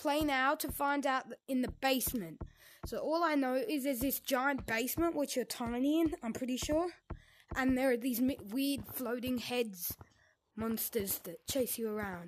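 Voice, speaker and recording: A woman speaks at a moderate pace with a high pitch. Light background noise sits behind her. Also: ordinary pitch variation. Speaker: gamer. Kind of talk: casual gameplay commentary. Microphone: headset.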